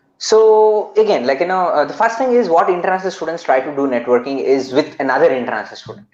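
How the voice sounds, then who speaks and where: A man talks at a very fast pace with hardly any pauses. His high-pitched voice swings very widely in pitch. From India, Bangalore. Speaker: international student community founder. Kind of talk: interview.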